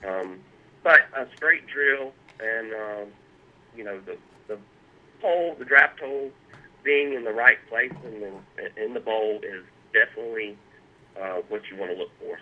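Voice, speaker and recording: Pausing long and often, a man talks at a fairly slow pace and medium pitch, with ordinary pitch variation and big swings in loudness. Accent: Southern US. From South Carolina. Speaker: artist and pipe restorer. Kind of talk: interview. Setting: phone call.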